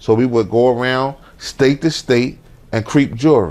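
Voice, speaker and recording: A man at medium pitch and moderate pace with ordinary pitch variation. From Philadelphia. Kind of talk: interview answer. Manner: casual storytelling.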